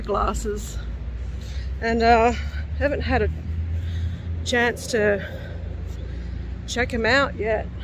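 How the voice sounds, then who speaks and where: A woman at a very slow pace, dry sound with no echo, noticeable background noise. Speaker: paranormal vlogger. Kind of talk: casual vlog chat. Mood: calm, respectful. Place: open country. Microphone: phone near.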